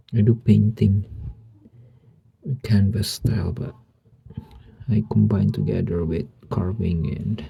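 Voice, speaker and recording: A man with a very deep, low pitch and ordinary pitch variation speaks at a fairly slow pace, leaving long, frequent pauses. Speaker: woodcarver. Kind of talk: tutorial. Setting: home studio. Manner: halting.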